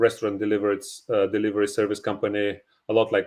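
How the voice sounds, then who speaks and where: Against a quiet background, a man with a Bulgarian accent speaks at a fairly quick pace in a fairly low pitch. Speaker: real estate investor. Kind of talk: podcast interview. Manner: halting, many fillers.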